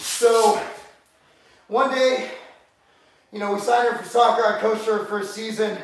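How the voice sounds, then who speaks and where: Strong room echo surrounds a man whose voice is pitched high. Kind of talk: casual vlog chat. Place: gym. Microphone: camera far.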